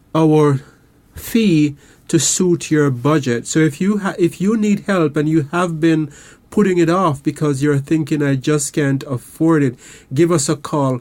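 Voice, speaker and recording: A man with a Caribbean accent speaks at a fairly high pitch with very even loudness. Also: ordinary pitch variation, fairly slow pace. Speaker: counselor and radio host. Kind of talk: radio show talk; promotional appeal. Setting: studio. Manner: calm, relaxed.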